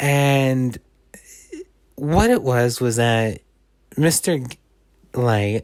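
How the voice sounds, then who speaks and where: A man with a medium pitch speaks at a very slow pace. He leaves long, frequent pauses, and his pitch varies in an ordinary way. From Canada. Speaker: YouTuber storyteller. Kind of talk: casual storytelling. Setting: at home on couch. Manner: halting, self-correcting.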